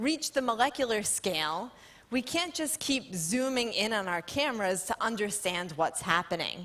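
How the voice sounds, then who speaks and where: A loud woman's fairly high voice with very wide pitch swings, on a very clean recording with a silent background. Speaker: scientist. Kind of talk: lecture. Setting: stage with audience.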